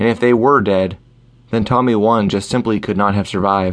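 With fairly even intonation and a fairly low pitch, a man talks at a moderate pace. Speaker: audiobook narrator. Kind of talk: dramatic audiobook narration of a pulp adventure. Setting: studio recording. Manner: steady storyteller pacing, building tension.

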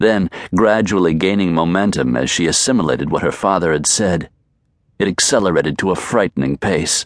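A man speaks with a very deep, low pitch, ordinary pitch variation and vocal fry. His loudness stays very even, and the sound is dry and close with no echo. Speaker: audiobook narrator. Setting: studio recording.

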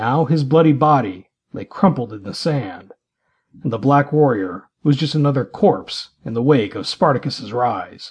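Over a quiet background, a man with a medium-pitched, somewhat breathy voice speaks fairly slowly in a dramatic tone, his intonation lively and his loudness swinging widely. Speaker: audiobook narrator. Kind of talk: dramatic audiobook narration, scripted fiction read aloud. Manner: dramatic, vivid, storytelling delivery with swelling action beats.

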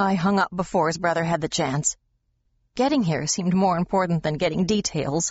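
A woman's voice carries a dramatic, tearful tone. It sounds somewhat breathy. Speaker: audiobook narrator. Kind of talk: audiobook narration of a romance novel, reading aloud with dialogue voices. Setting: studio. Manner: measured, emotive, dramatic storytelling pace; shifts tone to voice characters, tender and tearful in emotional passages.

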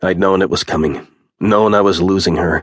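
The speaker moves at a fairly quick pace, with vocal fry. Pitch variation is ordinary. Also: man. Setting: studio recording. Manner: emotionally weighted, brooding delivery of a grieving father.

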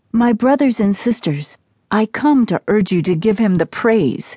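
A woman speaks in a fairly high pitch at a fairly slow pace. Her voice is somewhat breathy. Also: dry, close sound with no echo. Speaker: prayer narrator. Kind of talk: fervent prayer. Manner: earnest, repetitive, devotional.

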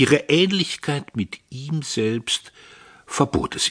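Close and dry with no echo, a man's fairly high voice carries vocal fry, lively intonation and a theatrical tone. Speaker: audiobook narrator. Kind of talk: audiobook narration, dramatic reading of a novel. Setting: studio. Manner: measured, theatrical, ironic and biting storytelling.

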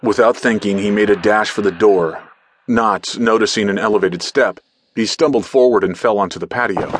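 A man with a fairly low pitch and an unremarkable speaking voice. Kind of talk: audiobook ghost story narration. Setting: studio. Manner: hushed, suspenseful, slow-paced storytelling.

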